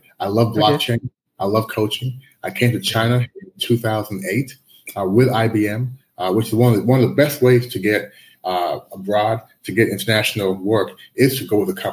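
A man's somewhat breathy, medium-pitched voice with an American accent, ordinary pitch variation and a moderate pace. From US. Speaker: life and business coach. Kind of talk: interview.

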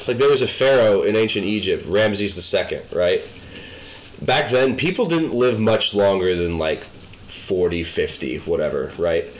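Amid noticeable background noise and audible room echo, a man talks at a fairly slow pace with very even loudness. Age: 20s. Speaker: podcast co-host. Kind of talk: casual chat.

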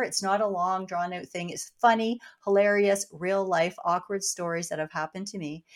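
A woman with a slight Canadian accent speaks at a moderate pace and medium pitch. The recording is very clean, with a silent background. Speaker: cancer survivor and author. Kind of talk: interview.

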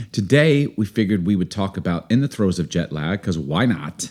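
The intonation is lively in this very clean recording with a silent background. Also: man. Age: 40s. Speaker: podcast co-host. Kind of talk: casual chat.

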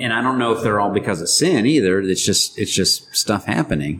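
A man speaks in an animated tone with lively intonation over noticeable background noise. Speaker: podcast co-host. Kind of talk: casual banter, joking. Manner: jokey, animated.

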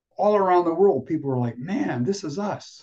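With a dark, mellow tone, a man speaks at a moderate pace using lively intonation. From US Midwest, Michigan. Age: 70s. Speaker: playwright and solo performer. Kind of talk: interview.

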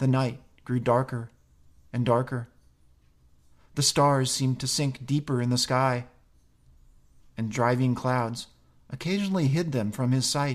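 Man at a medium pitch, theatrical and dramatic, fairly slow with long, frequent pauses and fairly even intonation, on a very clean recording with a silent background. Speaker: podcast host reading a classic story. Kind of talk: literary audiobook reading of a 19th-century story, expressive narration. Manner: measured, theatrical storyteller pacing with dramatic flair.

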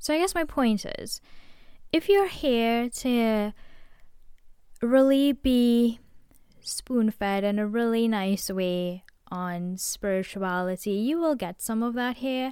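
Very slow and marked by long, frequent pauses, a woman's dark, mellow voice sits at a fairly high pitch with lively intonation. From Trinidad and Tobago. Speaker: spiritual podcaster. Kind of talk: solo monologue.

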